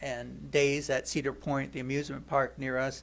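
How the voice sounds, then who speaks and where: Speaking with an American accent, the voice is monotone and flat in intonation, with vocal fry. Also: man. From US Midwest, northern Ohio. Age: 60s. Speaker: congregation member giving a talk. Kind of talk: personal testimony. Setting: church service. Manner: halting, many fillers and repeats.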